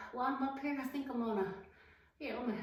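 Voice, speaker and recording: A woman's high voice with ordinary pitch variation, noticeable background noise and audible room echo. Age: 60s. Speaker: fitness content creator. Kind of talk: casual vlog talk to camera.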